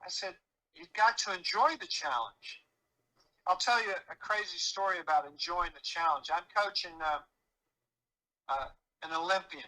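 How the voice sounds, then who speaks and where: A man with an American accent, high-pitched and bright with a sharp edge, projecting at a moderate pace with lively intonation, big swings in loudness and long, frequent pauses. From US Midwest, Chicago. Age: 70s. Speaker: performance coach. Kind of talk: podcast interview. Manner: animated.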